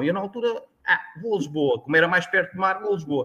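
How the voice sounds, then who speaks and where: At a fairly quick pace, a man speaks in a high pitch with a bright, sharp tone. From Portugal, Tomar (central Portugal). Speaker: agricultural consultant. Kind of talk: interview conversation. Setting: live stream. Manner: halting.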